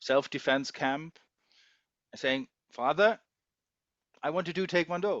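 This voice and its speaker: A man speaks with a German accent at a very slow pace. His intonation is lively. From Germany. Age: 50s. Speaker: taekwondo umpire and customs investigator. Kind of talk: casual interview. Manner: hesitant, with fillers.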